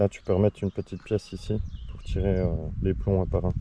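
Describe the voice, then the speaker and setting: The man's pitch is very deep and low. His intonation remains fairly even. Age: 40s. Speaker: airgun hobbyist vlogger. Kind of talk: casual product review. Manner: fast; hesitant fillers.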